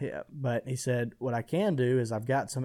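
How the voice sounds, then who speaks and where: A man with an Alabama accent speaks at a fairly slow pace in a medium pitch, his tone dark and mellow and his intonation fairly even. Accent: Southern US (Alabama). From US South, west Alabama. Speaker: hunting trade business founder. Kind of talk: podcast interview.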